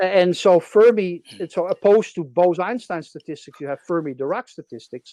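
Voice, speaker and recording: With a Dutch accent, a man talks at a moderate pace in a high pitch with ordinary pitch variation, a dark, mellow tone, and a dry, close sound with no echo. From Netherlands.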